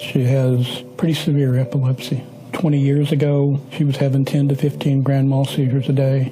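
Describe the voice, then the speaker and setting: A man's fairly high-pitched, monotone, flat voice at a moderate pace and very even loudness, with music in the background. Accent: American. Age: 60s. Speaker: retired mental health counselor. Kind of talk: interview testimony.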